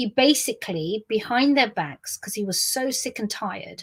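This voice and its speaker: In a very clean recording with a silent background, a woman speaks at a moderate pace, her fairly high voice somewhat breathy, with ordinary pitch variation. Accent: London. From South West London, England. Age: 50s. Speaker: business leader and memoirist. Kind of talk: memoir storytelling to camera. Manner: rambling, conversational.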